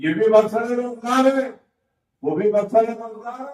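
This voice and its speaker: The speaker is a man. He talks with a high pitch. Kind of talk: religious sermon (majlis) to a live congregation.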